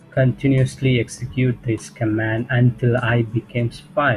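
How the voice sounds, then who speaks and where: Against music in the background, a man of medium pitch speaks in a monotone, flat intonation. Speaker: programming tutor. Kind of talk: tutorial explanation. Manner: occasional stuttering, hesitant.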